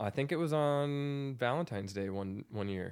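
Recorded very cleanly against a silent background, a man speaks at a fairly slow pace in a normal speaking voice with ordinary pitch variation. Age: 30s. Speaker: musician. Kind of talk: casual chat. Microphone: new microphone.

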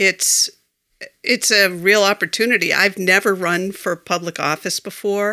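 A woman with an American accent has an ordinary speaking voice at a medium pitch. She talks at a fairly slow pace with fairly even intonation, in a dry, close sound with no echo. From Massachusetts, Foxborough. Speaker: local election candidate. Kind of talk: interview. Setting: small studio, in person.

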